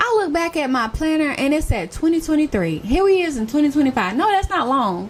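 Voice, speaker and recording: Over noticeable background noise, a woman with an American accent talks at a fairly quick pace in a high, animated voice with very wide pitch swings. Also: hardly any pauses. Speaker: lifestyle YouTuber. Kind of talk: casual vlog talk.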